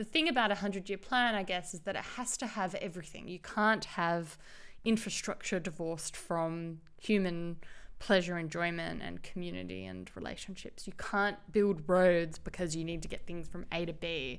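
A woman with an Australian accent talks at a moderate pace in a fairly low pitch with ordinary pitch variation. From Australia, Perth. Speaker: business consultant and urbanism advocate. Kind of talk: interview. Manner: hesitant, many fillers.

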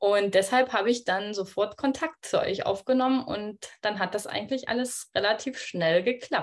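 Moderately paced, a woman speaks in an unremarkable speaking voice, fairly high in pitch with ordinary pitch variation. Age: 20s. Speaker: midwife, coaching client. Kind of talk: casual interview.

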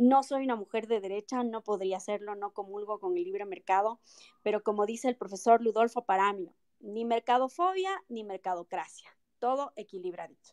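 This woman speaks in a normal speaking voice with a fairly high pitch and ordinary pitch variation. Her pace is moderate, and the sound is dry and close with no echo. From Ecuador, Quito (moved there at six; family from Loja). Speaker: lawyer and mayoral pre-candidate. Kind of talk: political interview. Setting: online audio room.

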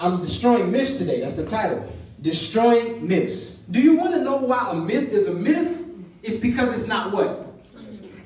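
An animated tone at a moderate pace, with noticeable background noise. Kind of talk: sermon. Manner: animated, call-and-response; conversational, informal, teaching.

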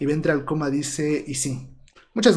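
A somewhat breathy voice is heard with audible room echo. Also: man. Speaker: history student and channel creator. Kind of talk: casual livestream chat. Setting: home livestream.

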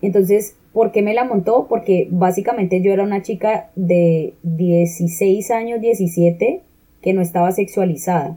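At a fairly slow pace, a woman speaks at medium pitch in a dark, mellow tone with fairly even intonation. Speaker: podcast co-host. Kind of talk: casual chat.

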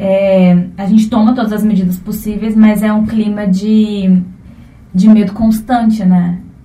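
With audible room echo, a woman talks at a fairly slow pace, her medium pitch flat and monotone. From Brazil, Alta Floresta, Mato Grosso. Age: 20s. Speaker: cultural producer and theatre student. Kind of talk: interview.

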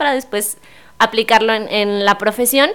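A woman with a fairly high pitch and a normal speaking voice talks at a moderate pace. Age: 20s. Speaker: primary school teacher. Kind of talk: casual interview.

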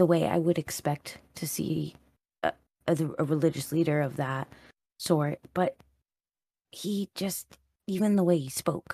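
Dry and close with no echo, a woman's fairly low voice with vocal fry moves at a fairly slow pace with ordinary pitch variation and long, frequent pauses. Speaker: tabletop game player. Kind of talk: casual roleplaying chat. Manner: animated, nervous but excited.

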